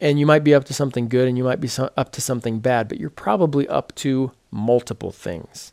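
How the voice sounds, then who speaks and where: In a dry, close sound with no echo, a man with a plain, everyday voice talks at a fairly quick pace. His medium pitch shows ordinary pitch variation, and there are hardly any pauses. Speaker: podcast host. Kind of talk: casual chat. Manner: self-deprecating, joking.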